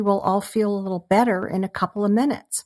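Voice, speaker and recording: Over a very clean recording with a silent background, a woman speaks fairly quickly at a medium pitch. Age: 60s. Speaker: artist and former video podcaster. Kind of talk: casual interview conversation.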